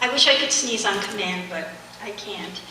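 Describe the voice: A soft-spoken woman's bright, sharp tone, with audible room echo.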